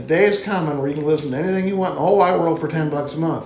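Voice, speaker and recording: An American accent amid audible room echo and noticeable background noise. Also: man. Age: 60s. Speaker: musician. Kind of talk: casual chat.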